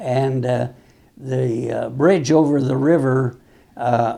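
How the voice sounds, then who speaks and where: Very slow speech from a man with an American accent and a dark, mellow tone. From Colorado, US. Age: 90s. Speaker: war veteran. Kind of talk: interview. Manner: halting, many fillers.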